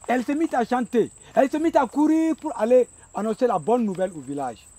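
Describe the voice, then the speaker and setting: A man speaks in a passionate tone with lively intonation. The sound is dry and close, with no echo. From Burkina Faso. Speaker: storyteller. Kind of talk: traditional oral storytelling performance. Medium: stage.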